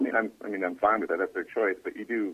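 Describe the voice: A man's fairly low voice with a slightly husky edge, fairly even intonation and a fast pace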